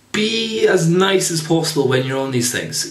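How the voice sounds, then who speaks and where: Here a man is speaking. His voice carries audible room echo. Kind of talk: tutorial. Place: home room. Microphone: camera far.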